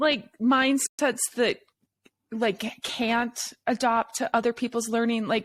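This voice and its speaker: A woman with a plain, everyday voice speaks at a moderate pace. Her pitch sits fairly high, with fairly even intonation. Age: 50s. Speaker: podcast host. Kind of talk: podcast interview.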